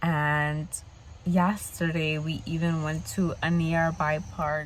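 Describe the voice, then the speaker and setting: Very deep and low in pitch, a somewhat breathy woman speaks at a very slow pace with fairly even intonation amid audible room echo. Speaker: van life vlogger. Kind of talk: vlog.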